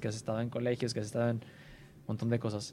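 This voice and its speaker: The speaker is a man. He talks in a Mexican accent. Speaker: podcast host. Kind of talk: casual interview.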